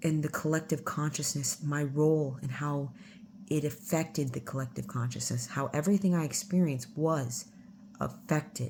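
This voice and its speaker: A woman with a very deep, low pitch and a dark, mellow, somewhat breathy tone speaks at a moderate pace with ordinary pitch variation. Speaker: spiritual channeler. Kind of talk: casual monologue.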